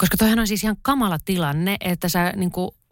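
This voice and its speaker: On a very clean recording with a silent background, a woman talks at a medium pitch with fairly even intonation. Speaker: writer and podcast co-host. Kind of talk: casual chat.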